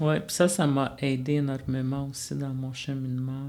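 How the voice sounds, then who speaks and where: Monotone, flat intonation from a man with a Quebec accent, medium in pitch and fairly slow in pace. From Manawan, Atikamekw community, Quebec. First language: Atikamekw (speaking French). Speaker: college student life facilitator. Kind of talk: interview. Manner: hesitant, many fillers.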